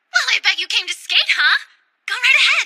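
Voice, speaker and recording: Putting on a character voice, a woman speaks at a fairly quick pace in a squeaky, extremely high pitch. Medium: cartoon. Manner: warm, upbeat.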